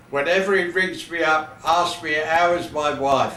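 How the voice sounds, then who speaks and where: Speaking at a fairly slow pace with fairly even intonation, this man has a fairly high pitch, and the recording carries audible room echo and noticeable background noise. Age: 80s+. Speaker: football fan and former team mascot. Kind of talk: recorded video message to former players. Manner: halting, with repetitions.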